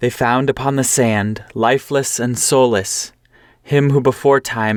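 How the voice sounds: The speaker uses a natural reading voice. It comes across as a natural reading voice throughout.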